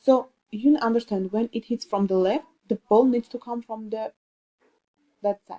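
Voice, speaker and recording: A woman in an Armenian accent, her fairly high pitch and dark, mellow tone carried by fairly even intonation in a dry, close sound with no echo. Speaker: student. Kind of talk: tutorial. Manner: halting.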